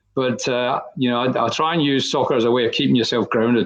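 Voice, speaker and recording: A man speaks with a Scottish accent. His pace is very fast. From Scotland. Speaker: football committee chairperson. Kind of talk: podcast interview. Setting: virtual studio.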